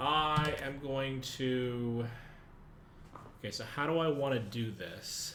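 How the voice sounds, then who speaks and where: At a very slow pace with long, frequent pauses, a man speaks at medium pitch with fairly even intonation, and audible room echo surrounds him. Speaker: gaming streamer. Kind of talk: live gameplay commentary. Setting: livestream.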